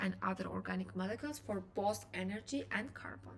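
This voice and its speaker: A woman speaks with a non-native accent at a fairly quick pace. Audible room echo surrounds her voice. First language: not English. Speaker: biochemistry student, educational youtuber. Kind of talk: lecture. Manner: halting.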